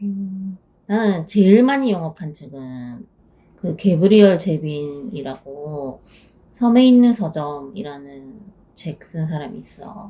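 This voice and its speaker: Speaking at a very slow pace, the voice swings very widely in pitch and makes big swings in loudness. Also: woman, fairly low pitch for a woman. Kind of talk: casual conversation.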